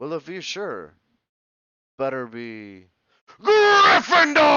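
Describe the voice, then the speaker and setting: A man's put-on character voice, raised and projected, high in pitch and very slow. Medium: read story. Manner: thoughtful, musing.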